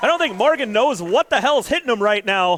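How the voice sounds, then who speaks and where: Energetic and excited, a man with a high pitch talks fairly quickly with very wide pitch swings while noticeable background noise plays. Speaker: wrestling commentator. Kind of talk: live wrestling match play-by-play commentary. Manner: energetic, excited.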